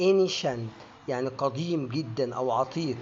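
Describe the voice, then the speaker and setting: A man's very slow delivery with lively intonation. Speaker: English pronunciation teacher. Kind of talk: educational lesson to camera.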